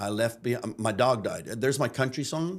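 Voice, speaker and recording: This man has an ordinary speaking voice, medium in pitch with ordinary variation, in a Canadian accent. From Canada, Chatham, Ontario (English immigrant household). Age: 60s. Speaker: pastor turned missionary teacher. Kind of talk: podcast interview.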